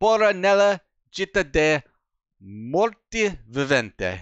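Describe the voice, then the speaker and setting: A man puts on a character voice that is high-pitched and sing-song, delivered at a very slow pace. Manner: put-on, sing-song Italian lilt.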